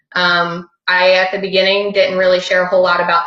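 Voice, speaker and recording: Using a normal speaking voice at a medium pitch, a woman talks at a fairly quick pace. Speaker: fitness coach. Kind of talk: presentation on a group call.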